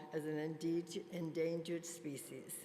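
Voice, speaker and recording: Audible room echo surrounds a woman's fairly low voice. She speaks at a fairly slow pace. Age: 90s. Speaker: spa industry pioneer. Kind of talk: conference keynote speech. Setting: stage with audience.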